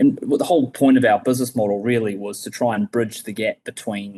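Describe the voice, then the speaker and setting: Speaking with a New Zealand accent, a man keeps a fairly quick pace, a medium pitch and fairly even intonation. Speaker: logistics company co-founder. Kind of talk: podcast interview.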